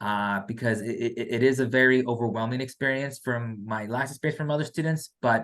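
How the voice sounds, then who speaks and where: In a quiet background, a man speaks at a medium pitch. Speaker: financial aid staff member. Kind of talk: info session presentation. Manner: fast; halting, many fillers and repeats.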